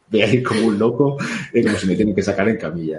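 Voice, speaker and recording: A man with a fairly low pitch rattles along at a very fast pace. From Spain. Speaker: former police officer and podcaster. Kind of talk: casual interview. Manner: halting, frequent repetitions.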